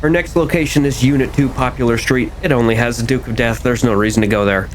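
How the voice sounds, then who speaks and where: A man talks at a very fast pace and medium pitch with ordinary pitch variation. Noticeable background noise runs underneath. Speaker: gaming youtuber. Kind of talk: gameplay commentary. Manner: casual; stuttering.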